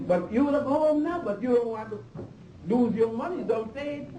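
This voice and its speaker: The voice moves at a moderate pace amid noticeable background noise and audible room echo. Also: man. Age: 60s. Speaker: historian lecturer. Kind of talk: lecture. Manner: animated.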